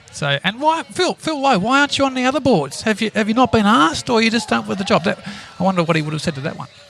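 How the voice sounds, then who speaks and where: A man with an Australian accent, high-pitched, at a very fast pace with very wide pitch swings, over noticeable background noise. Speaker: podcast co-host, shareholder activist. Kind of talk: casual chat.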